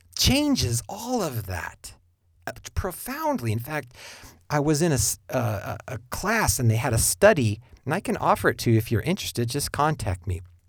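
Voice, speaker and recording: A man speaks at a moderate pace in a fairly high, somewhat breathy voice with very wide pitch swings. The recording is very clean, with a silent background. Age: 50s. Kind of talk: monologue podcast with preaching tone.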